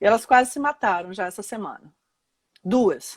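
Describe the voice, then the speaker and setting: At a moderate pace, a woman talks in a plain, everyday voice with a fairly high pitch and ordinary pitch variation. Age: 60s. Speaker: lawyer and law professor. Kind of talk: live interview. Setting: Instagram live video call.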